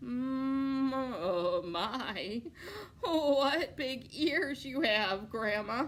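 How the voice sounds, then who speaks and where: A croaky, put-on character voice speaks at a very slow pace. Background noise is clearly heard. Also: woman, high pitch for a woman. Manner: feigned innocence.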